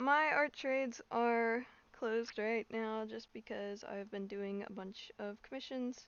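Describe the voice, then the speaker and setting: A soft-spoken woman talks at a fairly slow pace with a fairly high pitch and fairly even intonation. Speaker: artist streaming drawing. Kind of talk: casual live stream chat. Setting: live stream.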